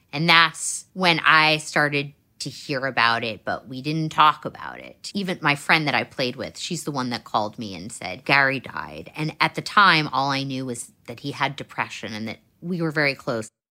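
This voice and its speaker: Bright and sharp in tone, the voice moves at a moderate pace with lively intonation, big swings in loudness and hardly any pauses, on a very clean recording with a silent background. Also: woman, very deep, low pitch for a woman. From US Northeast, Manhattan. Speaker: author. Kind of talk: interview.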